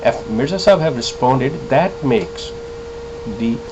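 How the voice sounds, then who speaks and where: Moderately paced male speech against clearly audible background noise. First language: Urdu. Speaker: religious commentator, ex-member of a sect. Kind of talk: video monologue, religious rebuttal. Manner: hesitant, many filler sounds.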